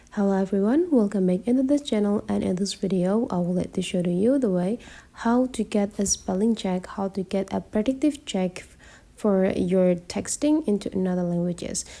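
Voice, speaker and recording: A woman talks at medium pitch with a non-native accent and a dark, mellow tone. Her pitch variation is ordinary and her pace moderate. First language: not English. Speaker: tech tutorial creator. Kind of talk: tutorial.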